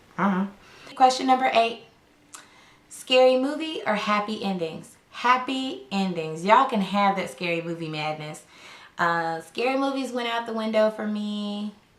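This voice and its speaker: Delivered at a moderate pace, the speech has lively intonation and an American accent. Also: woman, medium pitch for a woman. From US South, Arkansas. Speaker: lifestyle YouTuber. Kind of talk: casual chat.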